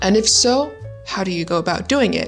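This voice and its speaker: A woman with a Vietnamese accent, music in the background. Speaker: English tutor. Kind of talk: casual educational talk to camera.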